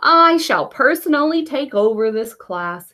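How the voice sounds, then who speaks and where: Here is a put-on character voice with very wide pitch swings. The pace is moderate, and the recording is very clean with a silent background. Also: woman, high pitch for a woman. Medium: read story. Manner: formal, stiff.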